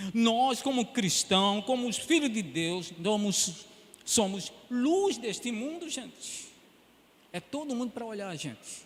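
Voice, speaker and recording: A man talks at a fairly slow pace in a high pitch. His pitch swings very widely, with long, frequent pauses. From Pernambuco, northeast Brazil. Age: 70s. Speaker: pastor. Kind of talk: sermon.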